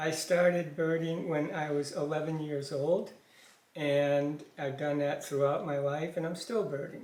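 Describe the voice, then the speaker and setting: Audible room echo follows a man who speaks slowly-ish, at a fairly slow pace, with a fairly high pitch and fairly even intonation. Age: 70s. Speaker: father of the channel owner. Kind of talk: casual interview. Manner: hesitant.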